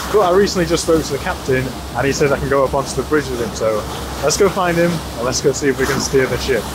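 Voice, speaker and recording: A man races along at a very fast pace with ordinary pitch variation amid noticeable background noise. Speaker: travel vlogger. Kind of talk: casual vlog chat. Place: boat. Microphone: lapel.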